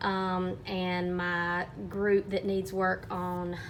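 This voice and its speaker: An Alabama accent with fairly even intonation. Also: woman. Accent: US Southern (Alabama). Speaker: third grade teacher. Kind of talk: teaching vlog.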